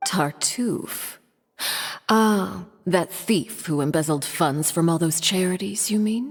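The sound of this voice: A woman uses a put-on character voice, fairly low in pitch with a slightly husky edge, at a slow pace with ordinary pitch variation. The recording is very clean with a silent background.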